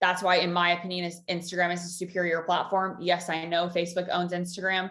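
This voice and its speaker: Very fast and monotone, a woman's speech runs with flat intonation. Her pitch is fairly low. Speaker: Instagram content coach. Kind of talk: webinar presentation. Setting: online webinar.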